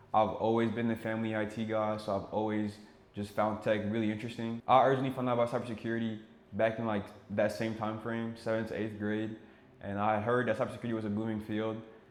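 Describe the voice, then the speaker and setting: A man talks very fast with a French accent, his intonation monotone and flat, and audible echo fills the room. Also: medium pitch for a man. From Senegal and Ivory Coast. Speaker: cybersecurity engineer, YouTuber. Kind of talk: casual vlog intro.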